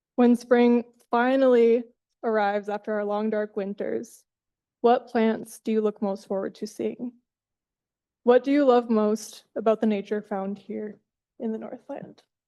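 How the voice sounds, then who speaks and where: A woman puts on a character voice, nervous and shaky, at a fairly high pitch and moderate pace with monotone, flat intonation. Long pauses come often, and the background is quiet. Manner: shaky, nervous.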